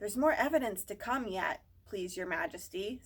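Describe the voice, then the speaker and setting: A woman's put-on character voice, medium in pitch, at a moderate pace. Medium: read story. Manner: respectful, hurried.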